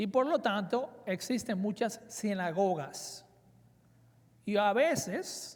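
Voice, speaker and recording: A man talks in a high voice with lively intonation. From Dominican Republic, raised in South Florida (Miami). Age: 40s. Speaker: preacher. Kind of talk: conference sermon. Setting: conference with audience. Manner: hesitant with fillers.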